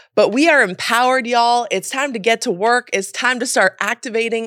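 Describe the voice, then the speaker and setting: With an American accent, a woman uses a normal speaking voice at a fairly high pitch and a moderate pace, recorded dry and close with no echo. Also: very clean recording, silent background. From US, mixed (California, Miami, Memphis). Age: 30s. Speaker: journalist and producer. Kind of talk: casual interview chat.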